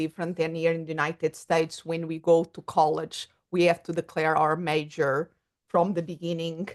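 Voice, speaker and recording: Speaking in a Portuguese accent, a woman has a fairly low pitch. Her pace is moderate. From Portugal. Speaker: psychologist and coach. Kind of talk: podcast interview.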